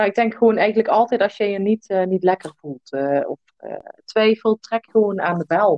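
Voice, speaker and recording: This woman has an ordinary speaking voice at a medium pitch. She speaks at a moderate pace with ordinary pitch variation. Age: 30s. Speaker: entrepreneur and mother. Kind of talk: podcast interview. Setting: video call.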